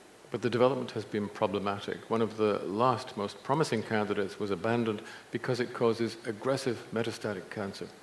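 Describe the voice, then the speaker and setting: Audible room echo surrounds a man speaking at a very fast pace. His intonation stays fairly even. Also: medium pitch for a man. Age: 70s. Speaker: nutrition scientist and speaker. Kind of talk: conference talk.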